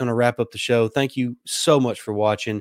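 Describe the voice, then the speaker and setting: The speaker has a Southern US accent, and the sound is dry and close with no echo. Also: man, very clean recording, silent background. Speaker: sports podcast host. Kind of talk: live sports talk show. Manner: hesitant, many fillers.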